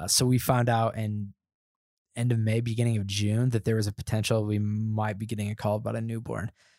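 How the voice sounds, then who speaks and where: On a very clean recording with a silent background, a man with an American accent speaks in a dark, mellow tone at a fairly low pitch. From US Midwest, northern Indiana. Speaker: church volunteer and foster parent. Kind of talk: casual chat. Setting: church office building.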